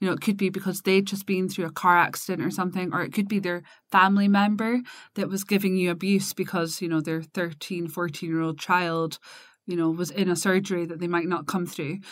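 In a slight Scottish accent, a woman speaks fairly quickly with monotone, flat intonation, on a very clean recording with a silent background. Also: medium pitch for a woman. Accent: mild Scottish. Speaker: business consultancy co-founder. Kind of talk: casual chat.

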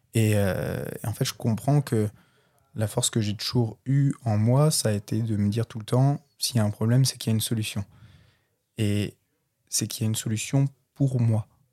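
At a moderate pace with long, frequent pauses, a man speaks in a dark, mellow tone at medium pitch with fairly even intonation, the sound dry and close with no echo in a very clean recording with a silent background. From Brittany, France. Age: 20s. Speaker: podcast guest, clothing brand founder. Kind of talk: casual interview.

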